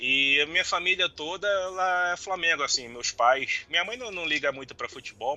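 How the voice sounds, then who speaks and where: A man talks at a high pitch and a fairly quick pace. He leaves hardly any pauses. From Rio de Janeiro, Brazil. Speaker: podcast guest, football fan. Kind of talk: casual interview. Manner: halting.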